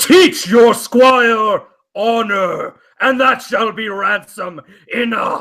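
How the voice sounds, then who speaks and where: In a put-on character voice, a man speaks at a very slow pace with an extremely high pitch and a raised, projected voice. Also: ordinary pitch variation. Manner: commanding.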